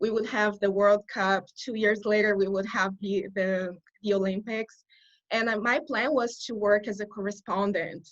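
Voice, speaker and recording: A woman speaks at medium pitch. She has a Portuguese accent. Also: fairly even intonation, moderate pace. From Brazil. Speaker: corporate communications writer. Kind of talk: interview. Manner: halting.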